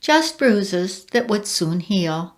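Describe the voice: The intonation here is lively. It comes across as plain reading aloud.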